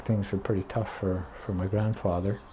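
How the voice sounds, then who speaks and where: This man's fairly low voice is somewhat breathy, dark and mellow, with monotone, flat intonation. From Quebec (Montreal). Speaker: son of a war cameraman. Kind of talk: casual interview chat. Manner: halting, with many fillers.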